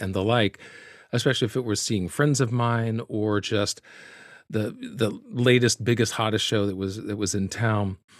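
This is a man with a normal speaking voice and fairly even intonation. The recording is very clean with a silent background, and the sound is dry and close with no echo. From US South, Birmingham, Alabama. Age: 40s. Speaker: actor. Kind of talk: interview.

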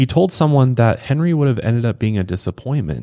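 A man with an American accent and a dark, mellow tone at a fairly quick pace, very clean recording, silent background. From Colorado. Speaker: true crime podcast host. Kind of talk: casual true crime storytelling. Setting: studio.

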